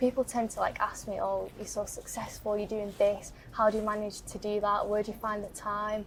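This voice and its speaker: At a fairly quick pace, a woman speaks in a monotone, flat intonation at medium pitch amid noticeable background noise. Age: young. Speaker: young campaigner. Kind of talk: interview.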